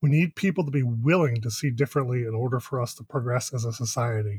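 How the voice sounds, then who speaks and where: Over a very clean recording with a silent background, a man with a medium pitch and a dark, mellow tone speaks at a fairly quick pace, somewhat breathy. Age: 30s. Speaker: podcast co-host. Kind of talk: casual chat.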